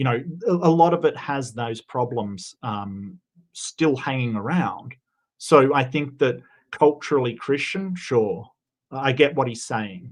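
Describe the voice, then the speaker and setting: A man with an Australian accent, medium in pitch, at a fairly slow pace, with ordinary pitch variation and a quiet background. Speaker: debater, secular humanist. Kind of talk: debate.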